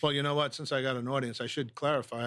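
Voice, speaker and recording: An American-accented man rattles along at a very fast pace in a flat monotone. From New York City. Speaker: business owner, veterans charity founder. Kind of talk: interview storytelling.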